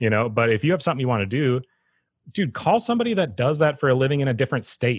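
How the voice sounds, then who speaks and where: A man with an American accent talks at a very fast pace in a medium pitch, somewhat breathy and with lively intonation. His loudness stays very even, in a dry, close sound with no echo. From Wisconsin (Eau Claire). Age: 30s. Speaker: skate shop owner and podcast host. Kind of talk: casual chat.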